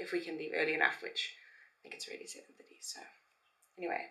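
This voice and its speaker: A raspy, put-on character voice at a very fast pace. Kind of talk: casual vlog chat.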